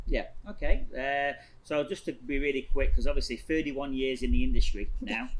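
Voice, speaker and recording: A man is speaking with an English accent. His pace is fairly quick. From northern England, Blackpool. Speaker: hairstylist and salon owner. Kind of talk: casual interview chat.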